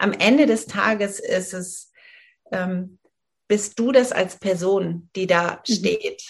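Somewhat breathy speech moves at a very slow pace, with big swings in loudness and ordinary pitch variation. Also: woman, medium pitch for a woman. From Germany, rural northern Hesse. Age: 40s. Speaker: menopause coach and yoga teacher. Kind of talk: interview.

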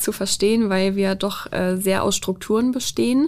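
A woman with a normal speaking voice talks at a moderate pace with ordinary pitch variation. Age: 20s. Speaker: police officer. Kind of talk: interview. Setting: studio.

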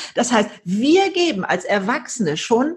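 Her pitch swings very widely. This woman speaks high in her range. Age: 70s. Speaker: author and keynote speaker. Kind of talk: interview. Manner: animated.

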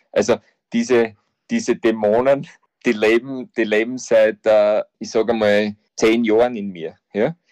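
Fairly even intonation comes with an Austrian accent in a dry, close sound with no echo. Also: man, medium pitch for a man, fairly slow pace. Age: 50s. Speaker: football coach. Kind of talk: interview.

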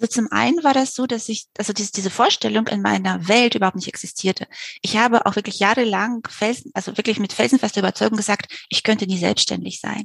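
A woman talks at a very fast pace with a fairly high pitch and vocal fry. Her intonation is fairly even, and the sound is dry and close with no echo. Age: 40s. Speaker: novelist. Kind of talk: interview.

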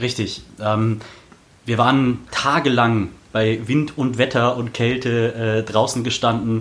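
At a very slow pace, a man of medium pitch talks in a monotone with flat intonation. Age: 20s. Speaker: local politician, city council candidate. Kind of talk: podcast interview. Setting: studio in Berlin.

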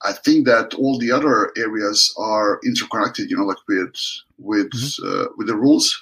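A man speaks with a Serbian accent. His pace is moderate. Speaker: water polo coach. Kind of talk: interview.

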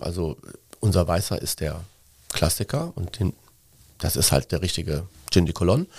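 This voice has a dark, mellow tone and a moderate pace, on a very clean recording with a silent background. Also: man. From Cologne, Germany. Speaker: gin brand owner and marketing agency owner. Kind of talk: interview.

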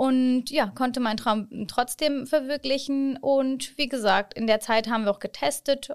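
The recording is very clean, with a silent background. A woman speaks in a high pitch with ordinary pitch variation. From born in Hannover, Germany; moved to Çanakkale, Turkey at 11. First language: Turkish (speaking German). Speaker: city ambassador and education counselor. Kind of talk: casual interview.

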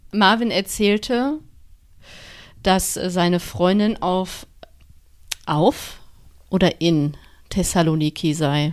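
Very slow, with long, frequent pauses and lively intonation, a woman speaks in a very clean recording with a silent background. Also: medium pitch for a woman. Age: 30s. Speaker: podcast co-host. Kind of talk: casual chat.

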